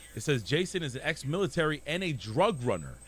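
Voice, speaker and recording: An animated man with vocal fry makes very wide pitch swings. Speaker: gaming streamer. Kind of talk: casual livestream commentary.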